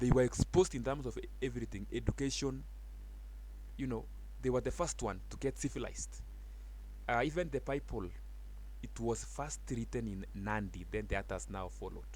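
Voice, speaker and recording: With a Kenyan accent, the speaker moves at a fairly quick pace but takes long, frequent pauses. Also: man. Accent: Kalenjin accent in English. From Kenya, Uasin Gishu County. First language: Kalenjin (Keiyo), also Swahili. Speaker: teacher. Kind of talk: language tutorial.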